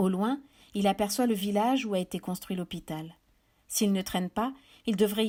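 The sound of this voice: An unforced reading voice carries the text.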